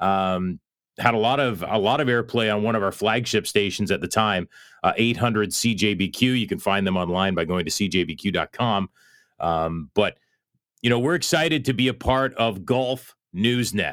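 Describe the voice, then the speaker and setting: A man's ordinary speaking voice with a Canadian accent, fairly low in pitch, at a moderate pace with ordinary pitch variation, in a very clean recording with a silent background. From Canada. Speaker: golf radio host. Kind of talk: casual radio talk show monologue. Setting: studio.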